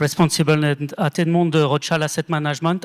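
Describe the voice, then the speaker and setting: A man speaks with a French accent in a very clean recording with a silent background and a dry, close sound with no echo. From France. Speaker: asset management executive and award co-founder. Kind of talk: award ceremony speech.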